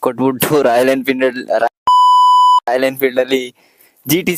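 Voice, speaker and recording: A man is recorded with a dry, close sound that has no echo. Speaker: motorcycle reviewer, YouTuber. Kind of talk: casual bike review vlog. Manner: animated, joking.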